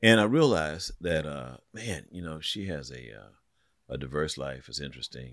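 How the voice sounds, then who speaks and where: Lively intonation, vocal fry and big swings in loudness mark this moderate-paced speech on a very clean recording with a silent background. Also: man, very deep, low pitch for a man. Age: 60s. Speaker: pastor. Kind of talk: casual chat. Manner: halting.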